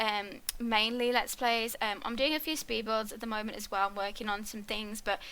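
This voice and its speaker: A woman speaks at a fairly quick pace. Her voice is fairly high-pitched, with a bright, sharp tone. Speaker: gaming YouTuber. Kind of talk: let's play commentary. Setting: home recording. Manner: soft-spoken.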